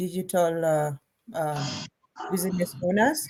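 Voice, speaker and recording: This woman's voice sits fairly low in pitch. The variation in her pitch is ordinary. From Kenya. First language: not English. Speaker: online business owner. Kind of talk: casual chat. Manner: halting.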